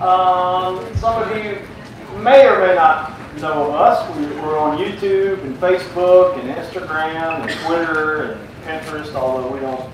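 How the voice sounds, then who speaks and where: Strong room echo and noticeable background noise surround a man as he speaks. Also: ordinary pitch variation, fairly slow pace. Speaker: conference presenter. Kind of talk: lecture. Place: tent. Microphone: camera far.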